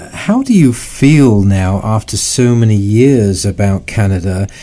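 Speaking at a fairly slow pace, a man of medium pitch has an unremarkable speaking voice. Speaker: talk show host. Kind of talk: interview. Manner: formal.

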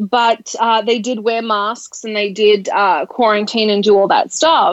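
A woman speaks at a fairly slow pace. Her voice is fairly high, with ordinary pitch variation. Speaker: radio talk show host. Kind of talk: casual talk show chat. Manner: animated.

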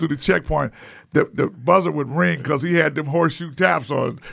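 With vocal fry and a fairly high pitch, a man speaks at a fairly quick pace. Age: 60s. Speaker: podcast host. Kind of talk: casual conversation interview. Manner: halting, filler words.

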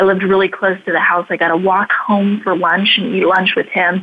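This woman has an unremarkable speaking voice, pitched in the medium range. She talks at a fairly quick pace with fairly even intonation. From Idaho, US. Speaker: speaker and radio/TV host. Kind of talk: interview.

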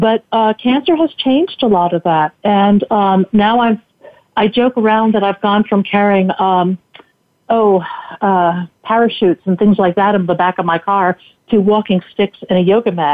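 In an ordinary speaking voice, a woman talks at a medium pitch and a moderate pace, with ordinary pitch variation and very even loudness. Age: 60s. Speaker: cancer survivor and tech entrepreneur. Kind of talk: casual interview. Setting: radio broadcast.

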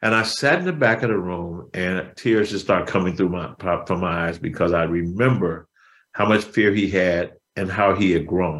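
Recorded very cleanly against a silent background, a man with an American accent talks at a moderate pace in a very deep, low voice. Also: ordinary pitch variation. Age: 60s. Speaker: motivational speaker. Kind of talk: interview.

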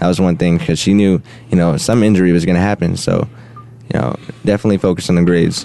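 Against noticeable background noise, a man with a very deep, low voice speaks very fast, his loudness very even and his pitch varying in an ordinary way. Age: young. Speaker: recent high school graduate athlete. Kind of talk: radio interview. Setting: studio. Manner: halting, many fillers.

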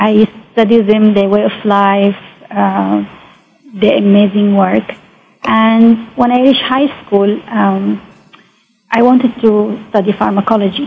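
Speaking with an Arabic accent, a woman talks at medium pitch and a fairly slow pace, her intonation fairly even, her loudness very even, with long, frequent pauses. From Saudi Arabia, Mecca. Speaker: biotechnologist and science entrepreneur. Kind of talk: interview. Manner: halting.

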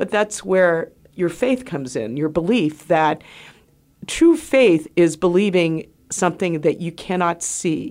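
A woman has a plain, everyday voice at a fairly low pitch with ordinary pitch variation. The recording is very clean, with a silent background. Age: 60s. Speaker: radio host and physician. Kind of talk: radio talk show monologue and interview. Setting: studio.

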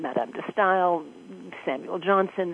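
A woman talks in an American accent with a fairly low pitch. She has an ordinary speaking voice and a moderate pace. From New York. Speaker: actress and performance coach. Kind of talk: radio interview.

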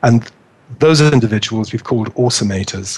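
A somewhat breathy man at a fairly quick pace. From northeast England. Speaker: local government HR director. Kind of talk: interview.

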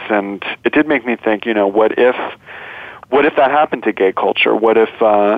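Against noticeable background noise, a man with a medium-pitched voice talks at a moderate pace. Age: 30s. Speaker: documentary filmmaker. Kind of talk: interview conversation.

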